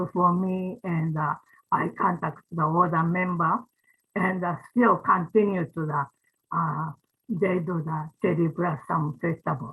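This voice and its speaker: A woman with a Japanese accent speaks at a fairly slow pace. Her voice is fairly low, with ordinary pitch variation. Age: 90s. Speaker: ikebana teacher, organization founder. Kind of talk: closing remarks at online event. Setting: video call. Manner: halting.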